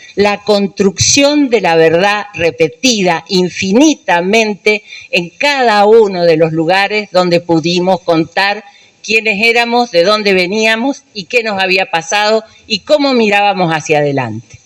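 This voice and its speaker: Against noticeable background noise, a woman talks at a fairly slow pace with lively intonation. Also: medium pitch for a woman. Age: 70s. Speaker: human rights activist, dictatorship survivor. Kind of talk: speech at a public event.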